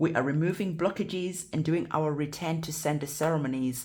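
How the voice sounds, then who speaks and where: Somewhat breathy and very deep in pitch, a woman speaks at a fairly quick pace with fairly even intonation. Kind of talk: tarot reading. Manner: stuttering.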